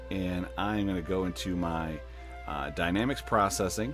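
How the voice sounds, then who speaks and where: Music plays behind a man with a very deep, low voice who speaks at a moderate pace with very wide pitch swings. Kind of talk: audio tutorial. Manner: casual, many fillers.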